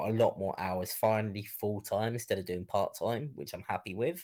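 At a moderate pace, a man with a southeast English accent speaks at a fairly low pitch with ordinary pitch variation. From Kent, southeast England. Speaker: gaming content creator. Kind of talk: casual interview. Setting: live stream, remote call.

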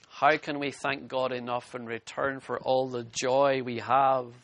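The man's voice sits at a medium pitch, delivered at a fairly slow pace. His intonation stays monotone and flat. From Scotland. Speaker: pastor. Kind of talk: sermon.

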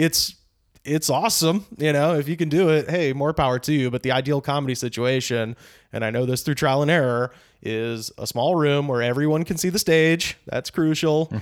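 A man with an American accent speaks in a plain, everyday voice at a fairly high pitch and moderate pace, with ordinary pitch variation. The recording is very clean, with a silent background. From US South, Auburn, Alabama. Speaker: stand-up comedian and podcast host. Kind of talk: casual interview chat.

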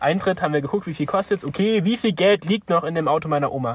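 A man speaks at a very fast pace in a somewhat breathy voice. The sound is dry and close, with no echo. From Thuringia, Germany (village near Weimar). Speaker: podcast co-host. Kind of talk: casual chat.

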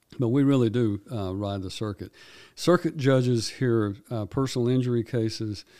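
This man talks at a medium pitch with a dark, mellow tone and a Tennessee accent, on a very clean recording with a silent background. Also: ordinary pitch variation, moderate pace. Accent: Tennessee Southern US. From Tennessee, Houston County. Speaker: circuit court judge. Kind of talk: interview. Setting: studio.

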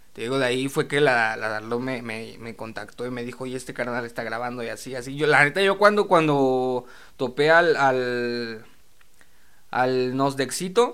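At a moderate pace and medium pitch, a man talks with ordinary pitch variation and big swings in loudness. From Mexico, Naucalpan (State of Mexico). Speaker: rapper. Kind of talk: casual chat.

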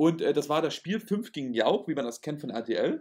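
The man's fairly high pitch moves in very wide swings. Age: 30s. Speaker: podcast host, magician and youth camp founder. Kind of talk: casual chat. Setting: recorded at home.

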